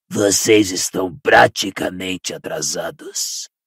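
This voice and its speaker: A man's raspy, put-on character voice at a fairly low pitch and a fairly slow pace. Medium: read story. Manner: cold, imperious.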